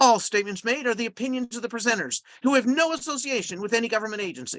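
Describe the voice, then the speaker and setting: An extremely high-pitched man speaks at a very fast pace, the sound dry and close with no echo. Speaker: grant writing trainer. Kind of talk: webinar training presentation. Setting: live webinar.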